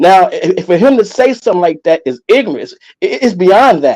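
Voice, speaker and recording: A man with a high-pitched voice and a dark, mellow tone speaks at a moderate pace. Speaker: caller. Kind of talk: call-in discussion. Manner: halting.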